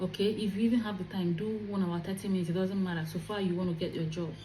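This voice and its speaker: Amid noticeable background noise and audible room echo, a woman talks very fast at medium pitch in an animated tone. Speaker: career vlogger. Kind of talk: advice vlog.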